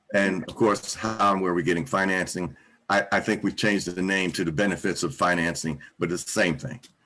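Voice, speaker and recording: At a fairly quick pace, a man speaks with a bright, sharp tone and a very deep, low pitch. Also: ordinary pitch variation. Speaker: business counselor. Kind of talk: webinar presentation. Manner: fast.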